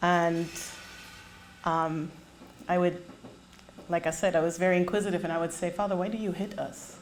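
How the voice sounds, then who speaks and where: A woman speaks at a moderate pace in a monotone, flat way, with long, frequent pauses. Room echo can be heard. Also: fairly low pitch for a woman. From Germany. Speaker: public speaker. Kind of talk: testimony. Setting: stage with audience.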